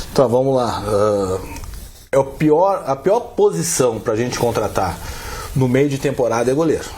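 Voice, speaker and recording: Long, frequent pauses from a man at a fairly slow pace, his fairly high pitch in very wide swings. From southern Brazil. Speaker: football club executive. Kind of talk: interview.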